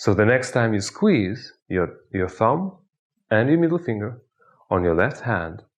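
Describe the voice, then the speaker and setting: A man in a Russian accent, fairly low in pitch with very wide pitch swings, at a fairly slow pace against a quiet background. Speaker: hypnotist. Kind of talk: tutorial with guided hypnosis exercise.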